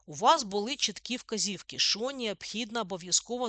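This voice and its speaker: A woman with a fairly high pitch, a bright, sharp tone and lively intonation speaks at a moderate pace in a dry, close sound with no echo and a quiet background. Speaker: physics teacher. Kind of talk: school lesson. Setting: online lesson recording. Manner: instructive, informal.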